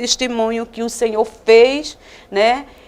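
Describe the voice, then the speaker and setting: A woman speaks at a high pitch. Her intonation is monotone and flat. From Northeast Brazil (Alagoas/Paraíba). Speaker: missionary. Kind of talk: religious testimony.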